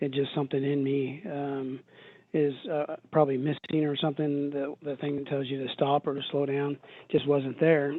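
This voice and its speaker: The man's pitch is fairly high, and his pace is moderate. His intonation stays monotone and flat. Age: 60s. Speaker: recovering alcoholic and ultrarunner. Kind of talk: interview testimony. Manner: halting, many fillers and repeats.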